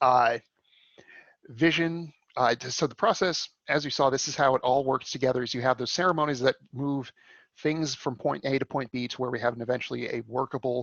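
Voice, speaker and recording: At a fairly quick pace, a man talks with fairly even intonation and a medium pitch. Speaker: coding bootcamp instructor. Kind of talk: lecture. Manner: fast.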